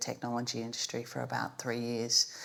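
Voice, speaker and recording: A woman with an Australian accent. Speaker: business executive. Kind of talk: panel discussion.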